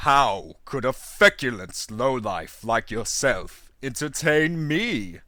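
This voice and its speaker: A man's put-on character voice at medium pitch, very slow with lively intonation, in a very clean recording with a silent background. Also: hardly any pauses. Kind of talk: read fable audiobook. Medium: read story. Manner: overacted, imperious.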